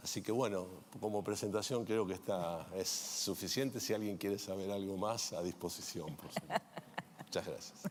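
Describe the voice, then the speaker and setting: Using a plain, everyday voice, a man speaks fairly low in pitch at a moderate pace with fairly even intonation. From Argentina. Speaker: insurance executive. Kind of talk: panel self-introduction.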